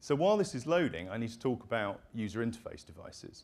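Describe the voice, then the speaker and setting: The delivery is very fast. Intonation rises and falls in a lively way. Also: man. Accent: British. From United Kingdom. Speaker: company presenter. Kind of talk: product demo presentation.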